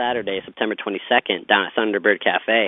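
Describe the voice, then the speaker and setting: An unremarkable speaking voice from a man with an American accent, fairly quick in pace and fairly even in intonation. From Pittsburgh, Pennsylvania (South Hills). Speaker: singer-songwriter. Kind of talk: interview.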